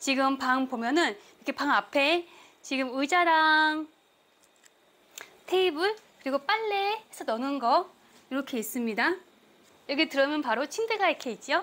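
Her voice is high, with a bright, sharp tone and lively intonation. This woman leaves long, frequent pauses. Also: fairly slow pace. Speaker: travel vlogger. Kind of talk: casual vlog chat. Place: home room.

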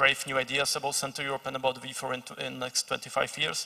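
Against a quiet background, a man with a Czech accent speaks at medium pitch and a moderate pace, his tone bright and sharp. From Czech Republic. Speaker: think tank analyst; speaker. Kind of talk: panel discussion. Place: stage. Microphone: handheld.

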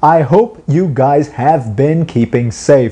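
Dark, mellow tones from a man. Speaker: motorcycle club vlogger. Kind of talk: casual vlog intro. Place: home room. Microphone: lapel.

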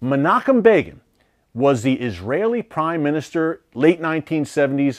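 A man speaks with an American accent at a fairly slow pace. The background is quiet. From United States. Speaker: news show host. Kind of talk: news commentary. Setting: studio. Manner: emphatic, urgent; formal, fluent. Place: studio. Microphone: lapel.

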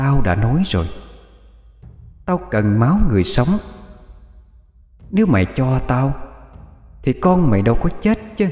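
A man's shrill, put-on character voice at medium pitch, with very wide pitch swings, a fairly slow pace and slight echo. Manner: menacing.

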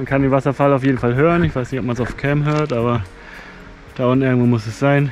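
Over background music, a man talks at a very fast pace, recorded dry with no echo. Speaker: hiker vlogger. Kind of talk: casual vlog chat. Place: forest. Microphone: phone near.

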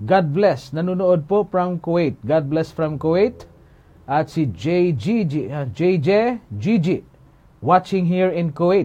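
Fairly high pitch from a man, dark and mellow in tone. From Philippines. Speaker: Bible teacher. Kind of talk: Bible Q&A livestream. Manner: formal. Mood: calm, earnest. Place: studio.

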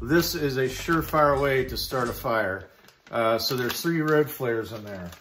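There is light background noise as a man speaks with ordinary pitch variation. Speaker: preparedness vlogger. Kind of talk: casual gear show-and-tell. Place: garage. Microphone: phone near.

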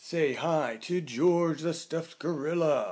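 The pace here is very slow. It is a man doing the talking. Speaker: host reading to children. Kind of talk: casual vlog chat for kids. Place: home room. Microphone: webcam.

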